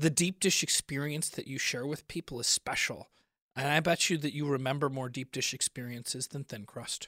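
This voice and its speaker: In an American accent, the speaker keeps a moderate pace and fairly even intonation with a bright, sharp tone, a dry, close sound with no echo, and a very clean recording with a silent background. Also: man, fairly high pitch for a man. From Chicago. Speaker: comedian. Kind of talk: comedic food debate.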